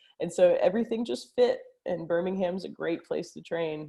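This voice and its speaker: With an American accent, a woman talks at a moderate pace. Her loudness swings widely. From US South, Arkansas. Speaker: neurologist and grappling champion. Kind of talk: casual podcast interview.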